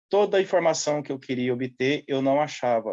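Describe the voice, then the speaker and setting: A man speaks at a fairly slow pace in an unremarkable speaking voice. His pitch is fairly high, with ordinary pitch variation. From central Brazil (Goiás / Triângulo Mineiro). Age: 30s. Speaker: seasonal farm worker. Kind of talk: interview.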